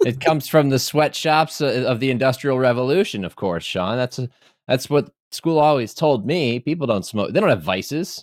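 A man speaks in a normal speaking voice with fairly high pitch. His intonation is lively and his pace is moderate. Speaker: podcast host. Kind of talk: casual chat. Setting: video call.

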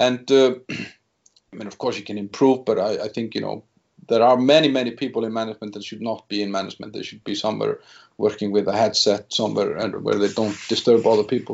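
With an Icelandic accent, a man speaks at a very fast pace in a medium pitch, his intonation fairly even but his loudness swinging widely. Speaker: business executive. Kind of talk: interview. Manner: halting.

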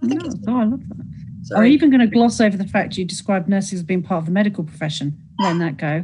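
Speaking with a British accent, a woman talks at a very fast pace with lively intonation. Her medium-pitched voice has a dark, mellow tone and is somewhat breathy. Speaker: show host, mental health nurse. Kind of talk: panel discussion. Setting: video call.

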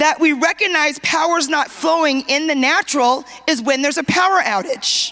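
A woman with a raised, projected voice, high in pitch, with an animated tone and ordinary pitch variation, over noticeable background noise. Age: 50s. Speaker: preacher. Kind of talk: sermon. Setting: church conference, stage with audience. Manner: animated, call-and-response preaching.

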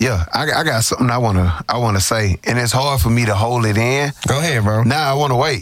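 A man with an American accent in an animated tone at a fairly quick pace, very even in loudness, with noticeable background noise. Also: medium pitch for a man, ordinary pitch variation. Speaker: podcast host. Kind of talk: casual chat.

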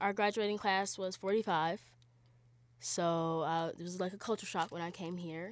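An ordinary speaking voice from a woman, medium in pitch, with fairly even intonation at a moderate pace, in a very clean recording with a silent background. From Charlotte, North Carolina. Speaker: college student. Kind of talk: interview.

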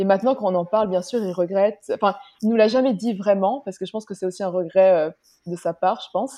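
A very fast-talking woman with a dark, mellow tone and ordinary pitch variation. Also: medium pitch for a woman. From Luxembourg. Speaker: podcast guest. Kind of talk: interview.

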